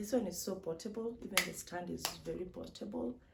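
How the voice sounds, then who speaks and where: Recorded with noticeable background noise and audible room echo, a woman speaks slowly-ish at a fairly slow pace and a fairly low pitch. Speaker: vlogger. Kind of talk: unboxing vlog. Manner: animated.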